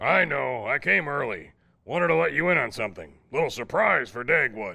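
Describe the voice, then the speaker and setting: This man speaks at a medium pitch. His voice makes very wide pitch swings. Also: moderate pace. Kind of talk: 1940s radio comedy acting. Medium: audio drama. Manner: brusque, bossy, short clipped sentences.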